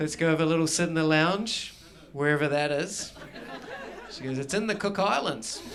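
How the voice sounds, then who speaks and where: With crowd noise in the background, a man speaks at a moderate pace, with ordinary pitch variation and long, frequent pauses. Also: fairly high pitch for a man. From New Zealand. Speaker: stand-up comedian. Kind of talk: live stand-up comedy performance.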